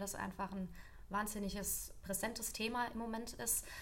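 A woman's voice with vocal fry, a moderate pace and fairly even intonation, plus audible room echo. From Lower Franconia, Germany. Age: 20s. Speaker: nutritionist. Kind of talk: expert explanation in interview.

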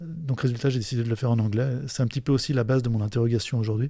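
This man has a dark, mellow tone, a medium pitch, fairly even intonation and a somewhat breathy quality. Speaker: podcast host. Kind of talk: solo monologue. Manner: halting.

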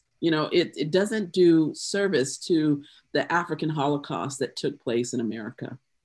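Over a quiet background, a woman talks with a Southern US accent. Her very deep, low pitch carries lively intonation. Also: moderate pace. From US South, South Carolina. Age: 50s. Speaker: poet. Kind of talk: casual chat.

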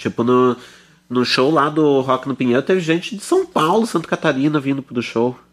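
This man has a plain, everyday voice at a medium pitch, speaking at a moderate pace with lively intonation. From Araucária, near Curitiba, Brazil. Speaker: radio show host. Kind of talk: radio presenting and interview. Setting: studio.

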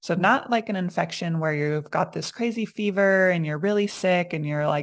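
A woman speaks in an ordinary speaking voice at a fairly low pitch and a fairly slow pace, with ordinary pitch variation, on a very clean recording with a silent background. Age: 30s. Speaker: naturopath and health coach. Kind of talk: casual interview chat.

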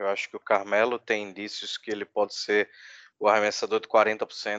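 A fairly low-pitched man at a moderate pace, dry and close with no echo, against a quiet background. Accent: Recife. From Brazil, Recife. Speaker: basketball podcaster. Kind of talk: casual chat.

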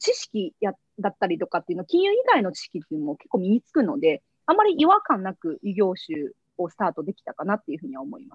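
A somewhat breathy woman at a fairly quick pace, her pitch swinging very widely. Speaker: company CEO and founder. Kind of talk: interview.

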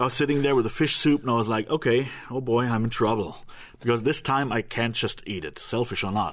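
A man with a German accent talks at a fairly quick pace. His pitch varies in an ordinary way against a quiet background. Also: medium pitch for a man. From Germany. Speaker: former extremist turned human rights activist. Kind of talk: interview. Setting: radio studio.

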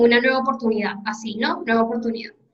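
A woman's high voice with a bright, sharp tone. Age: 20s. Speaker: podcast host. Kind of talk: casual interview conversation.

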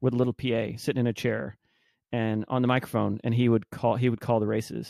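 A man speaks at a medium pitch in a monotone, flat intonation. The sound is dry and close, with no echo. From Texas, Arlington (Dallas-Fort Worth). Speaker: entrepreneur. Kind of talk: casual interview.

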